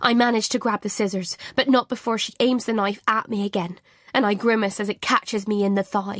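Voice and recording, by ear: The intonation stays fairly even as someone reads aloud in a natural voice.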